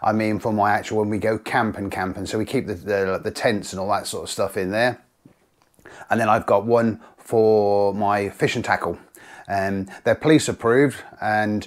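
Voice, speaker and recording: A man with a fairly low pitch and an unremarkable speaking voice talks with fairly even intonation over a quiet background. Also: moderate pace. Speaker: angler vlogger. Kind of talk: casual vlog chat. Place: home room.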